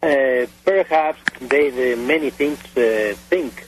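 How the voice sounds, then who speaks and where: Speaking very slowly with a Spanish accent, a man uses a medium pitch and ordinary pitch variation. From Mexico. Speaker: airline pilot, UFO witness. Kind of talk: radio interview testimony. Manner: halting, many hesitations.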